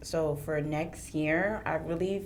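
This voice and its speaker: A woman's very deep, low pitch at a very slow pace, amid noticeable background noise and audible room echo. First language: French. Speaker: podcast guest. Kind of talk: casual chat.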